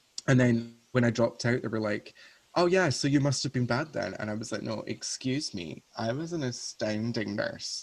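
A man with a Scottish accent, medium in pitch. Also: ordinary pitch variation, moderate pace. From Scotland, Paisley near Glasgow. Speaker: drag performer. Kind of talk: casual chat.

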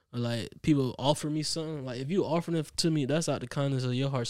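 Medium in pitch with ordinary pitch variation, a man talks at a very fast pace. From US Midwest. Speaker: musician. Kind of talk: casual chat. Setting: studio.

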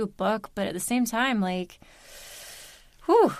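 This woman has an ordinary speaking voice with an American accent. Her pitch is fairly high, with ordinary pitch variation. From US Mid-Atlantic, Baltimore, Maryland. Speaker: audiobook narrator. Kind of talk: casual interview chat.

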